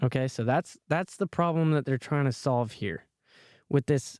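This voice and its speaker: Recorded very cleanly against a silent background, with a dry, close sound and no echo, a man speaks at a fairly high pitch with ordinary pitch variation. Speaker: podcast host. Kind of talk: solo podcast monologue. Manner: repetitive, stumbling.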